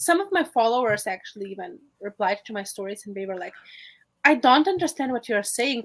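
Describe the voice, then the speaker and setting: A woman speaks fast-ish at a high pitch, with very wide pitch swings and big swings in loudness. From Lithuania. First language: Lithuanian. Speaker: social media influencer. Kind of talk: casual interview.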